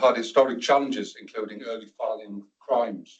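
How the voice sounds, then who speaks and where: In a northern English accent, a man speaks at a fairly quick pace. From northern England. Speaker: NHS security and violence reduction lead. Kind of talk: presentation to a board meeting.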